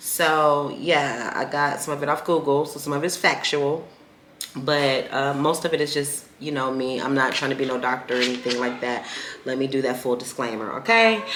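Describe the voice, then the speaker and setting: A woman's very deep, low voice with ordinary pitch variation, amid noticeable background noise and audible room echo. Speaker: podcast host. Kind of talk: casual solo podcast talk. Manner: fast when engaged.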